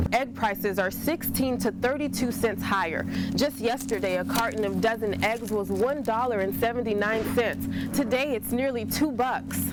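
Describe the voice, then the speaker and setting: A woman with an American accent speaks at a moderate pace with hardly any pauses. Her loudness stays very even while music plays in the background. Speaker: television news reporter. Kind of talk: TV news reporter delivery.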